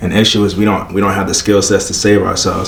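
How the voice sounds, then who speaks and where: A man with an American accent and a fairly low pitch, amid noticeable background noise and audible room echo. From Prince George's County, Maryland (DC area). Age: 20s. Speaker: community CPR instructor. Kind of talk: casual interview. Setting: on location in Baltimore.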